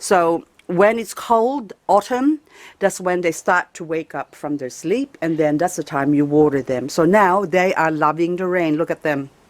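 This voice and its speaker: A woman speaks at a fairly slow pace in a fairly low voice with lively intonation, her sound dry and close with no echo on a very clean recording with a silent background. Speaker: gardening vlogger. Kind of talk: casual garden tour. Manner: animated.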